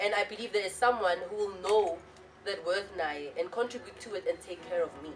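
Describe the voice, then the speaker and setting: Over noticeable background noise, a woman talks at a fairly quick pace in an animated tone with ordinary pitch variation. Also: medium pitch for a woman. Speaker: talk show panelist. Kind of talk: talk show discussion.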